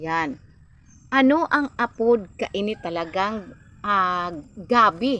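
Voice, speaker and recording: Speaking in a bright, sharp tone, a woman goes at a very slow pace with long, frequent pauses. The recording is very clean, with a silent background. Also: medium pitch for a woman, lively intonation. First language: Bikol (speaking Tagalog). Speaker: vlogger. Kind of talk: casual vlog talk.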